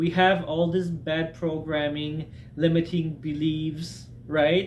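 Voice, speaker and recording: A fairly high-pitched man speaks in a flat monotone amid audible room echo. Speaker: self-help video maker. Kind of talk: casual talking-head advice monologue. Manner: conversational with many fillers.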